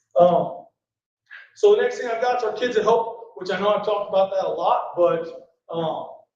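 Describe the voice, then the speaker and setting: A loud man with a high pitch and ordinary pitch variation comes through with audible room echo. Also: moderate pace. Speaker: school principal. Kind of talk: board meeting report. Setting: school board meeting, no microphone. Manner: casual, filler-heavy. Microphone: speaking without microphone.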